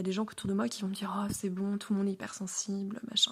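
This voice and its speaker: At a very fast pace, this woman's somewhat breathy voice rushes along. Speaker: podcaster. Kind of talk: personal monologue. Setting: at home, alone. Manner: calm, composed; hesitant, many fillers.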